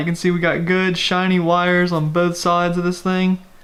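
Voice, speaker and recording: A man with a high pitch, speaking at a fairly quick pace against noticeable background noise. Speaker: car enthusiast vlogger. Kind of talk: casual vlog tutorial.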